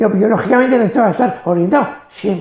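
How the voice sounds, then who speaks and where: The speaker is a man. His tone is dark and mellow. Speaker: brain injury survivor. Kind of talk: interview. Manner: fast.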